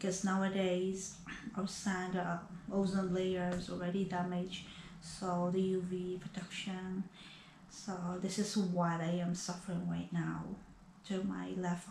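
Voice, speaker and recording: Against light background noise and audible room echo, a woman speaks with monotone, flat intonation. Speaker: vlogger sharing health experience. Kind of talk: casual vlog chat. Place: home room. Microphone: camera far.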